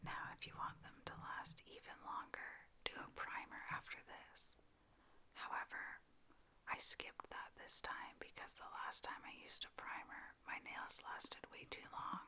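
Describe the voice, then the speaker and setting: Speaking in a whisper, a woman is heard. Her pace is fairly slow. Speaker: ASMR creator. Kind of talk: ASMR tutorial. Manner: soft-spoken, whispered.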